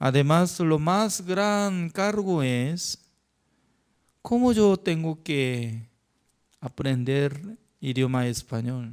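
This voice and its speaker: A man's fairly high voice in a Korean accent, lively in intonation, at a very slow pace with long, frequent pauses. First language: Korean (speaking Spanish). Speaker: pastor. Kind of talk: sermon.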